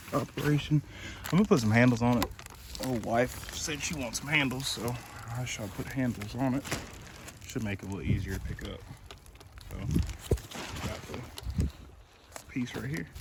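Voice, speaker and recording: A man's voice at a medium pitch and moderate pace, with ordinary pitch variation, long and frequent pauses, and noticeable background noise. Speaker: DIY YouTuber. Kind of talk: tutorial. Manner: casual, halting.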